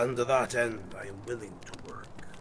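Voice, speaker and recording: Putting on a character voice, a man speaks at medium pitch and a moderate pace. Clear background noise can be heard. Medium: read story.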